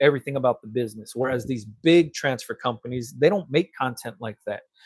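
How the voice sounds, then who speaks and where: A man with an American accent and an animated tone, ordinary pitch variation, a dry, close sound with no echo, and a very clean recording with a silent background. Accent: Los Angeles accent, noted by cousins. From Los Angeles. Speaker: t-shirt printing business owner and content creator. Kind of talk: casual livestream chat. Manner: casual, animated.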